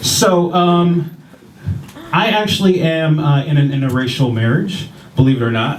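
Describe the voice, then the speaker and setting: A man with an American accent speaks at a fairly slow pace with lively intonation, very even loudness and long, frequent pauses, with audible room echo and noticeable background noise. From Ohio, US Midwest. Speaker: stand-up comedian. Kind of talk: stand-up. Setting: stage with audience. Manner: non-threatening, mild; hesitant, many fillers.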